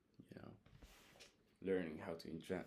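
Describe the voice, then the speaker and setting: Intonation is monotone and flat, with a Hungarian accent. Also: man. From Hungary. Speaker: vlogger. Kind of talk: casual monologue. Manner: halting.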